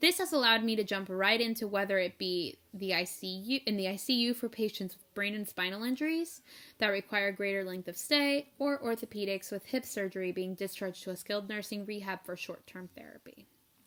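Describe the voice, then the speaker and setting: A woman's bright, sharp voice at medium pitch, with ordinary pitch variation, big swings in loudness, hardly any pauses and a fairly quick pace. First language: not English. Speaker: nurse and nursing-school advice vlogger. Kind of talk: tutorial with read-out sample answers. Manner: casual, conversational.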